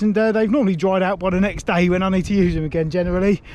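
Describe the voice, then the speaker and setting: This man speaks with a British accent. His pitch varies in an ordinary way. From UK. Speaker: cycling vlogger. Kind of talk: casual vlog to camera.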